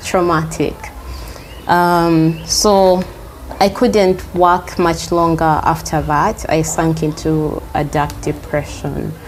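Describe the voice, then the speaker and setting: A woman talks very slowly while noticeable background noise fills the recording. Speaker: healer and teacher. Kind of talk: interview answer. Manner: soft-spoken.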